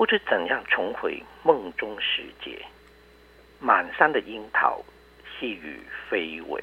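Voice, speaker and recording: Speaking at a very slow pace, a man leaves long, frequent pauses, and his loudness swings widely. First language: Cantonese (speaking Chinese). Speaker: professor and poet. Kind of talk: reading aloud; interview.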